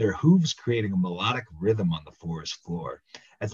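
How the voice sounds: The clip features a natural reading voice.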